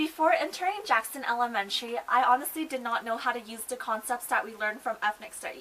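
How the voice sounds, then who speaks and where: A woman with an American accent speaks at a very fast pace in a high voice, her intonation lively and hardly any pauses breaking the flow, with noticeable background noise behind her. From Utah, US. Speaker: college student mentor. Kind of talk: student video reflection.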